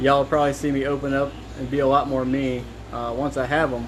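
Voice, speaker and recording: The recording carries noticeable background noise and audible room echo. A man speaks through it at a fairly quick speed. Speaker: car mechanic and video maker. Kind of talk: casual workshop talk to camera. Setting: home workshop. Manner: hesitant, many fillers.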